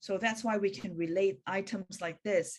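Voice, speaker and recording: Medium-pitched woman with a Hong Kong accent, at a fairly slow pace with ordinary pitch variation. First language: Cantonese. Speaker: spiritual practitioner. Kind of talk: online meeting presentation. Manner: halting.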